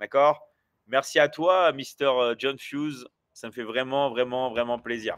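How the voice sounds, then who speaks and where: A man's very slow speech with fairly even intonation and big swings in loudness. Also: medium pitch for a man. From France. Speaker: online business coach and livestreamer. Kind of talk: live stream chat with viewers. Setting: livestream. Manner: hesitant, many fillers.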